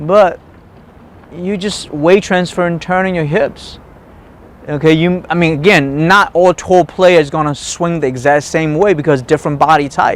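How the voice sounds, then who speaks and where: Over noticeable background noise, a man with a non-native accent talks at a moderate pace in a high voice. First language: not English. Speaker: golf instructor. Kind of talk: tutorial. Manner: animated.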